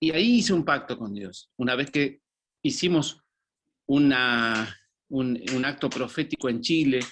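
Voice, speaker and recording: Against a quiet background, a man with a fairly high pitch for a man talks at a fairly slow pace in a plain, everyday voice with ordinary pitch variation. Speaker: former pastor. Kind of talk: testimony.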